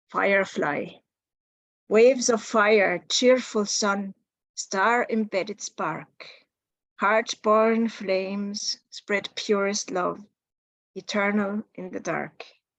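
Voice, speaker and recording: A woman with a medium-pitched voice talks at a very slow pace, with long, frequent pauses and fairly even intonation. Her loudness swings widely in a dry, close sound with no echo. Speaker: poet. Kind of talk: poetry reading.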